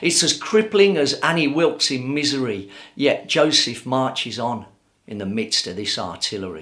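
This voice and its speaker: A man speaks with vocal fry at a fairly high pitch, his bright, sharp tone sweeping through very wide pitch swings. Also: moderate pace. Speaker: spoken word poet. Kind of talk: spoken word poetry performance.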